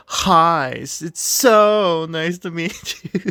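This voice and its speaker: Put-on character voice, sing-song, at a middle pitch and a very slow pace. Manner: sarcastic, mocking, insincere.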